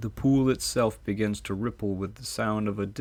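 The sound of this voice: This is an unforced reading voice with ordinary pitch variation.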